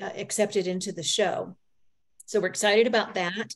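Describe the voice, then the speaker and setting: A woman speaks in a monotone with flat intonation. The background is quiet. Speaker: society president hosting meeting. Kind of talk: meeting announcements. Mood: friendly, welcoming. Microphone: video call.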